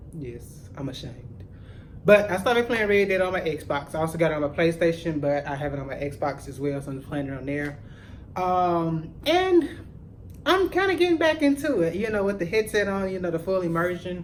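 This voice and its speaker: A man's high-pitched, animated voice at a moderate pace. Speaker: gaming YouTuber. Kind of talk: casual vlog chat.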